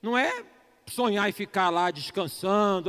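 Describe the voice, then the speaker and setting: With no echo, the sound is dry and close, and a man's pitch rises and falls in an ordinary way. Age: 50s. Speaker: pastor. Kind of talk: sermon. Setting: church service.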